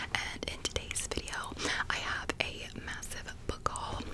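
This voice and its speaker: A woman's whispering at a fairly slow pace over noticeable background noise. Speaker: ASMR creator. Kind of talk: ASMR book haul talk. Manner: whispered.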